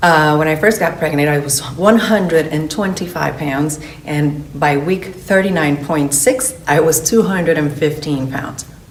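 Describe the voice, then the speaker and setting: A woman with a very deep, low pitch talks at a fairly slow pace with ordinary pitch variation and hardly any pauses, amid audible room echo and noticeable background noise. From Venezuela. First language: Spanish. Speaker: fitness coach. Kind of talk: promotional orientation talk.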